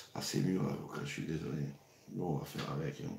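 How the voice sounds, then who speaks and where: Vocal fry runs through this man's voice. Audible room echo can be heard. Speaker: cooking show host. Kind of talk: live cooking stream. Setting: livestream. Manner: casual, hesitant with repetitions.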